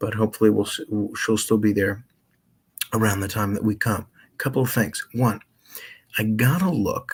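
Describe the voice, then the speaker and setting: A man speaks softly at a moderate pace, his voice somewhat breathy and fairly low in pitch with ordinary variation. He leaves long pauses often. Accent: American. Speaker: radio host. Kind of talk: casual chat. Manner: soft-spoken.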